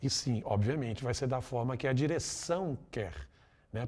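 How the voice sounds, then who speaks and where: Over a very clean, silent background, a man with a medium pitch and a dark, mellow tone speaks at a moderate pace, somewhat breathy, with lively intonation. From Brazil, Minas Gerais (Belo Horizonte). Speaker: voice actor and musical theatre performer. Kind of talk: interview. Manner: casual, conversational.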